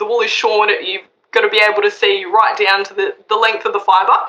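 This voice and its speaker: Fairly even intonation in an Australian accent, at a moderate pace. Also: woman. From Australia, western Sydney. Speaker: wool auctioneer. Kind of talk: interview.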